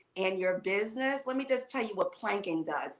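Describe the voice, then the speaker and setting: Over noticeable background noise, a woman with an American accent talks at medium pitch. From New York. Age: 60s. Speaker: fitness and wellness coach. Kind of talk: casual chat.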